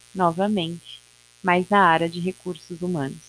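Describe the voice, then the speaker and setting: A woman's voice, dry and close with no echo. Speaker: podcaster. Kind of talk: personal monologue.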